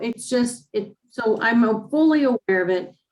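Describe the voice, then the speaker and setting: Spoken at a moderate pace, this is a normal speaking voice. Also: woman. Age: 60s. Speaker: class participant. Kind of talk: class Q&A.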